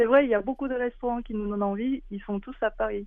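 The speaker has a Korean accent. The intonation stays fairly even. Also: woman. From South Korea. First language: Korean (speaking French). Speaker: illustrator. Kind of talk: interview. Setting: phone call.

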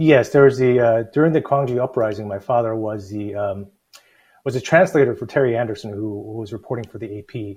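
Someone with an American accent speaks at a fairly quick pace, somewhat breathy, with ordinary pitch variation. The loudness swings a lot. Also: man, medium pitch for a man. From US South (Alabama and Georgia). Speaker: city mayor. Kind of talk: interview. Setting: video call. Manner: halting, many fillers.

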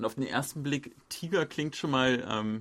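A man with an unremarkable speaking voice, medium pitch and ordinary pitch variation, against a quiet background. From Germany. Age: 30s. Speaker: journalist and podcast host. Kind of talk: casual chat.

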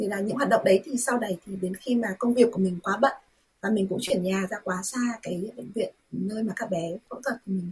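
A woman speaks in a normal speaking voice at a medium pitch, with ordinary pitch variation and a fairly quick pace. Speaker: volunteer and interpreter. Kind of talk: radio interview.

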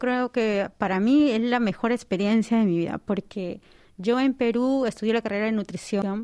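Dark, mellow tone from a woman, with fairly even intonation, very even loudness, and a very clean recording against a silent background. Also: fairly high pitch for a woman, moderate pace. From Peru, Lima. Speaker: doctoral student and nutritionist. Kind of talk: radio interview. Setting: studio.

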